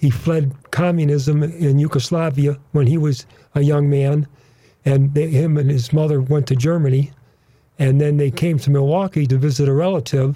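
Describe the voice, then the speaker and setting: Dark and mellow in tone, the voice is somewhat breathy, with monotone, flat intonation, very even loudness and a moderate pace. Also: man, fairly high pitch for a man. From US Midwest (northern Wisconsin). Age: 80s+. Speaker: veteran drag racer. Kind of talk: radio interview. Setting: studio.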